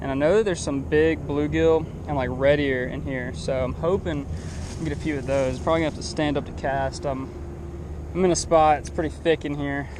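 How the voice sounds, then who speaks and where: Fairly quick male speech amid noticeable background noise and audible echo from the room. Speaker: fishing youtuber. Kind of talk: casual vlog narration. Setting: outdoors. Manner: fast; animated.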